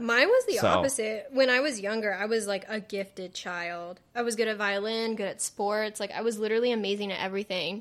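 The speech moves at a fairly quick pace with hardly any pauses. Its intonation stays fairly even. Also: woman, fairly high pitch for a woman. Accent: Southern California. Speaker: podcast co-host. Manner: casual, chatty, scatterbrained.

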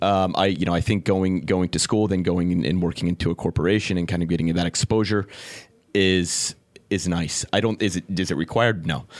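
A Californian accent at a fairly quick pace, with fairly even intonation, very even loudness, and a very clean recording over a silent background. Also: man, very deep, low pitch for a man. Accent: American (Californian). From California (San Diego). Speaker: entrepreneur, cafe and bar owner. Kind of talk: interview. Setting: studio. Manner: halting, many fillers.

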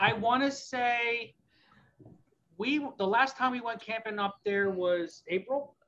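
A man speaks in a raised, projected voice with a bright, sharp tone and an extremely high pitch. His pitch moves in an ordinary way, and he talks very slowly with an American accent. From Pennsylvania. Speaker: ham radio retailer employee. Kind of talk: casual chat.

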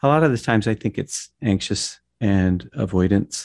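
A man with an unremarkable speaking voice talks at a moderate pace, his pitch fairly low. The recording is very clean with a silent background and a dry, close sound with no echo. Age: 50s. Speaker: therapist. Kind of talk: casual chat.

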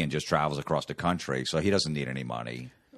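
A man talks at a very fast pace with vocal fry. His pitch variation is ordinary. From New Jersey. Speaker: comedian. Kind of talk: casual chat.

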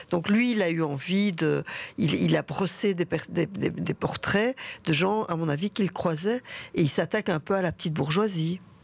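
At a moderate pace, a woman uses an unremarkable speaking voice with a fairly low pitch, ordinary pitch variation and very even loudness. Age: 60s. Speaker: theatre director and actress. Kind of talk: radio interview.

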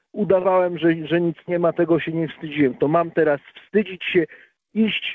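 A man with a fairly high pitch and a plain, everyday voice talks at a moderate pace. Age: 40s. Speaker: recovering alcoholic guest. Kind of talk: testimony. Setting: phone call.

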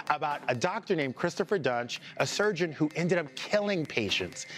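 Against noticeable background noise, a man's pitch swings very widely as he talks at a moderate speed. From Louisiana. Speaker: entertainment TV talk show host. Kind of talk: casual entertainment talk show chat. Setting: TV studio. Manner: animated.

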